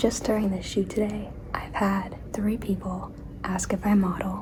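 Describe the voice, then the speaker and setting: A woman is whispering amid audible room echo and noticeable background noise. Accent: American. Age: 20s. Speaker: actress and vlogger. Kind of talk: casual vlog chat. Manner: animated.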